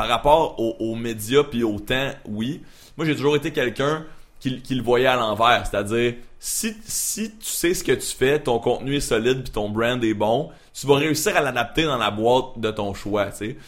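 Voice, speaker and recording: At a fairly slow pace, a man with a normal speaking voice talks at a medium pitch with ordinary pitch variation. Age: 20s. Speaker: freelance media creator and voice performer. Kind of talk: casual chat.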